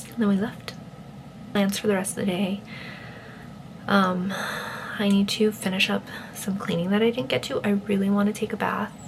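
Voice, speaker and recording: With noticeable background noise behind her, a woman speaks at a moderate pace and medium pitch, her intonation fairly even and her long pauses frequent. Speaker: lifestyle vlogger. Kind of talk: casual vlog talk. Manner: quiet, trying not to be loud; relaxed, casual.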